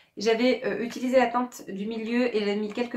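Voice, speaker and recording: The intonation stays monotone and flat. It belongs to a woman. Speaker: beauty vlogger. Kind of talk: product review vlog. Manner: fast; hesitant, many fillers.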